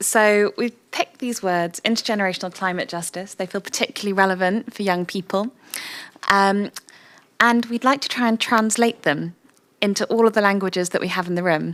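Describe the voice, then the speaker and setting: A woman with an ordinary speaking voice talks at a fairly quick pace and medium pitch, with ordinary pitch variation. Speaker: workshop facilitator. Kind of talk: workshop facilitation.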